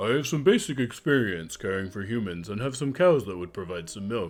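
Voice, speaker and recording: A man does a put-on character voice at a fairly low pitch. He talks at a fairly quick pace with lively intonation. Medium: actual play. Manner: earnest, formal.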